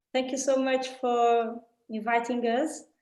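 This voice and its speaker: A woman speaks in a Portuguese accent at a fairly slow pace. Her high-pitched voice has monotone, flat intonation. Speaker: art center director. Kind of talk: prepared talk. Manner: halting.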